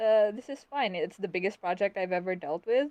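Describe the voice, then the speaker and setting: A woman with a Philippine accent, medium pitch, moderate pace and lively intonation, against a quiet background. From Philippines (Bisaya-speaking region). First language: Bisaya. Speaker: web fiction author. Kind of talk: live-stream interview. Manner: halting.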